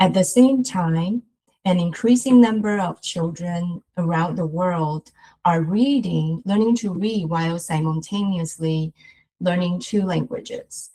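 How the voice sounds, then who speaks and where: A woman's fairly low, somewhat breathy voice with a Chinese accent, ordinary pitch variation and a fairly slow pace. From Taiwan. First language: Mandarin Chinese. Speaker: researcher. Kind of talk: lecture. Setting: webinar.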